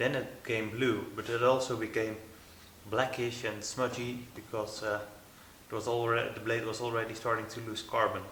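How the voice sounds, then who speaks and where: Noticeable background noise and audible room echo surround the speaker. A man talks at a moderate pace with monotone, flat intonation. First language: not English. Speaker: knife maker. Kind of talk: workshop vlog narration. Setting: workshop. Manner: halting, many fillers.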